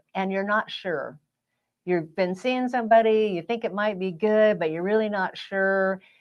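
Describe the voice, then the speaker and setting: A normal speaking voice from a woman, medium in pitch and with ordinary pitch variation. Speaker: relationship coach. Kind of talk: casual chat.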